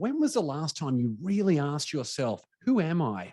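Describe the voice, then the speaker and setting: A man with an Australian accent lets his pitch swing very widely. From Australia, Brisbane. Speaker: business coach and podcast host. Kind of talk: webinar presentation. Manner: animated.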